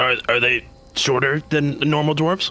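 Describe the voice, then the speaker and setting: A man puts on a character voice, pitched fairly high. He keeps a moderate pace. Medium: actual play. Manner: broken simple speech.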